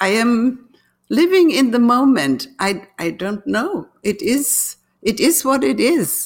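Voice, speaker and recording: Speaking at a very slow pace with a German accent, a woman uses a fairly high voice that makes very wide pitch swings. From Germany. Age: 80s+. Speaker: artist. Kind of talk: interview.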